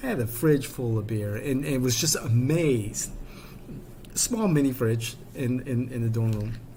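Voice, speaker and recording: Speaking at a fairly slow pace in a Chicago South Side accent, a man with a medium pitch and ordinary pitch variation is heard over noticeable background noise and audible room echo. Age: 50s. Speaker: political commentator. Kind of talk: personal storytelling monologue. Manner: animated.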